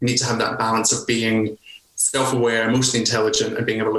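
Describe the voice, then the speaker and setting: A man with a Scottish accent speaks in a flat monotone at a medium pitch, with noticeable background noise. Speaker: nurse leader and coach. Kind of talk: podcast interview.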